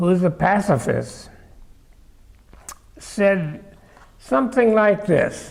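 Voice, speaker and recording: A man with an American accent talks at a very slow pace in a high pitch. His intonation is lively, with noticeable background noise behind him. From Japan then United States. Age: 80s+. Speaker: congregation member. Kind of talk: personal story.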